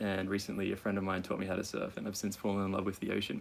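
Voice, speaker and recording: Speaking at a fairly low pitch, a man talks with an Australian accent. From Australia, Brisbane. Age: 20s. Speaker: nurse, sailing crew member. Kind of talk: casual self-introduction. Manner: hesitant, many fillers.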